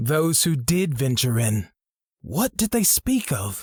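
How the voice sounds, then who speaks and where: A man performs a put-on character voice at a fairly high pitch with very wide pitch swings. His loudness stays very even at a fairly slow pace, and the sound is dry and close with no echo. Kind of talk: fantasy audiobook dialogue. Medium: read story. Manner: measured, formal, reserved.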